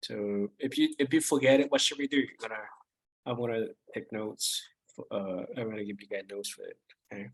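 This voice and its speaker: A man talks at a fairly quick pace, with big swings in loudness. His speech has long, frequent pauses. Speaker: math instructor. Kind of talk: lecture. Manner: halting, many fillers and restarts.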